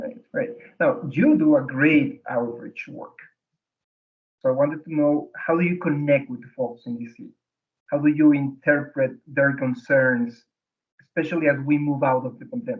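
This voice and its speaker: A man has an unremarkable speaking voice, pitched fairly high, with ordinary pitch variation. He goes at a moderate pace with big swings in loudness. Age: 40s. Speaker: design firm interviewer. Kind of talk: interview on video call.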